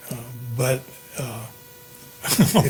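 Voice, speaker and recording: There is noticeable background noise and audible room echo. A man speaks at a medium pitch. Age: 80s+. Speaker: alcohol board member. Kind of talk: public meeting testimony. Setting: town council meeting. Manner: halting, many fillers.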